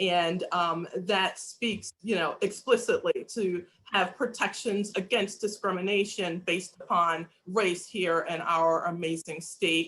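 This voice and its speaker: A woman speaks in an unremarkable speaking voice at a medium pitch. Her intonation is fairly even, with hardly any pauses. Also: fairly slow pace. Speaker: state legislator. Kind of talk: panel discussion.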